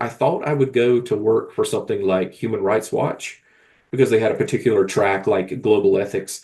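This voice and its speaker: Against a quiet background, a voice with a Southern Appalachian accent moves at a fairly quick pace with ordinary pitch variation. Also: man. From US South, rural South Carolina. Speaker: novelist. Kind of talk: casual chat.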